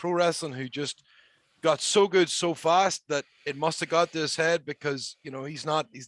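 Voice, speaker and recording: A man with a Northern Irish accent, fairly high pitch and fairly even intonation at a moderate pace, in a dry, close sound with no echo and a quiet background. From Northern Ireland. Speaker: professional wrestler. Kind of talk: casual chat.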